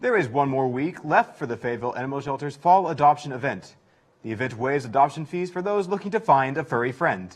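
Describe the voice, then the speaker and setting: An American-accented man at a very fast pace, fairly high in pitch with lively intonation. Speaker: university campus news anchor. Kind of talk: news anchor read.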